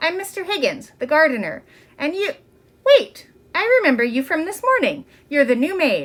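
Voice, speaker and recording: Using a put-on character voice, a woman speaks at an extremely high pitch with long, frequent pauses. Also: moderate pace. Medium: read story. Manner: friendly, easygoing.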